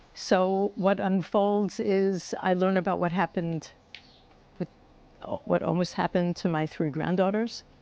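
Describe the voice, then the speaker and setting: Woman with a New York accent, medium pitch, fairly even intonation, a fairly slow pace and long, frequent pauses. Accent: New York American English. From United States, New York (Bronx). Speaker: former educator, October 7 survivor. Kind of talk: interview answer.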